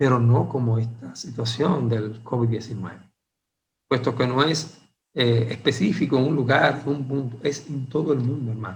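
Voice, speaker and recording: With a somewhat breathy voice of medium pitch, a man speaks at a moderate pace with ordinary pitch variation, and audible room echo can be heard. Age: 60s. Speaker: Bible teacher. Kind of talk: Bible study lecture. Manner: hesitant with frequent fillers.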